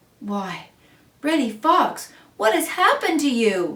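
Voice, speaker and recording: A woman's high-pitched put-on character voice with very wide pitch swings at a fairly slow pace. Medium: read story. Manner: mock-innocent, teasing.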